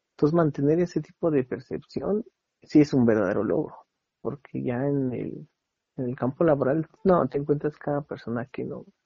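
A man speaks in a plain, everyday voice, fairly high in pitch, at a moderate pace with ordinary pitch variation. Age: 30s. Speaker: architect. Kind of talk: interview. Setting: phone call.

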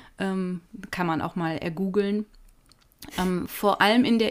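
Here a woman is speaking. Her pace is moderate, with ordinary pitch variation. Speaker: podcast co-host, storyteller. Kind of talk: storytelling. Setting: home office.

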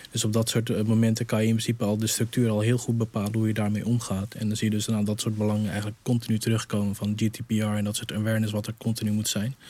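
This man's voice has a fairly low pitch and a dark, mellow tone. He speaks very fast in a monotone, flat intonation. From Netherlands. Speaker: digital innovation coach. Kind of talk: panel discussion.

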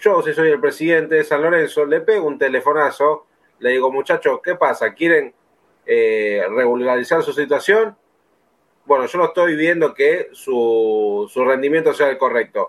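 Here is a man with a fairly high pitch and an unremarkable speaking voice. His intonation is lively. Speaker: football podcast host. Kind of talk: casual chat.

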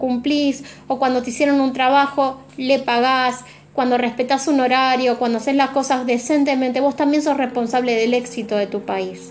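A woman's high, monotone, flat voice at a moderate pace amid noticeable background noise. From Argentina. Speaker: tarot reader. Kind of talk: tarot reading monologue. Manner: reflective, searching pace.

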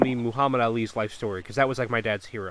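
Speaking with an American accent, a man rattles along at a very fast pace. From Connecticut. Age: 20s. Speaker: podcast host. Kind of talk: casual chat.

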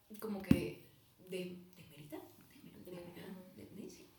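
Audible room echo surrounds the voice. It belongs to a woman. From Venezuela (Caracas). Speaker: student podcast co-host. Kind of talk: casual chat.

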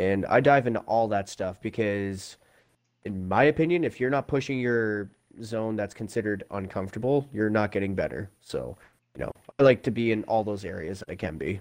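An unremarkable speaking voice from a man, fairly low in pitch, with ordinary pitch variation and a moderate pace. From Prince Edward Island, Canada. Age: 20s. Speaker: gamer and streamer. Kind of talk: casual chat.

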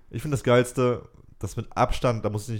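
This very clean recording, with a silent background, features a man speaking. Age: 20s. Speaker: podcast host. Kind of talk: casual chat. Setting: recorded separately, voice messages.

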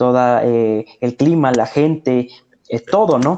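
A dark, mellow tone at a fairly slow pace. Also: man. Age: 20s. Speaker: secondary school teacher. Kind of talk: casual interview.

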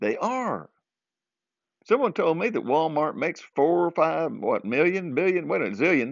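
In a Southern US accent, a man speaks at a moderate pace with a high pitch. His voice makes very wide pitch swings. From US South, southern Arkansas. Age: 60s. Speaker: podcaster. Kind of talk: casual monologue. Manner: chuckles often.

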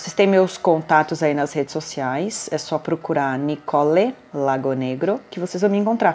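Over noticeable background noise, a woman speaks at a moderate pace with hardly any pauses. Her pitch is very deep and low, yet her intonation is lively. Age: 40s. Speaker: podcast host, nurse and diabetes blogger. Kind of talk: casual monologue.

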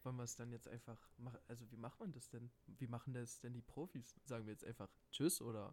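The delivery moves at a fairly quick pace. It is a normal speaking voice, and the intonation is fairly even. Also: man, medium pitch for a man. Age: 20s. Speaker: podcast co-host, student. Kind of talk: casual chat.

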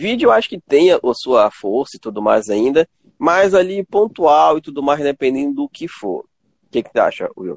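A man speaks at a moderate tempo, the sound dry and close with no echo. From Pará, Brazil (Tucuruí). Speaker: gaming streamer and interview host. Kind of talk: casual interview chat on a livestream.

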